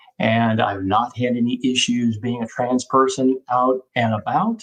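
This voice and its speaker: A man speaks at a medium pitch and a moderate pace in a normal speaking voice, his pitch varying in an ordinary way. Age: 60s. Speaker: physician presenting on transgender care. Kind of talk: webinar presentation.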